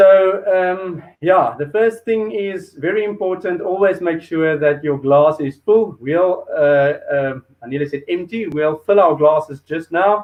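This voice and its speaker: A man's high-pitched voice in a South African accent, at a fairly slow pace with ordinary pitch variation and hardly any pauses. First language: Afrikaans. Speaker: show host. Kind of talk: hosted food and wine show. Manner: hesitant, many fillers.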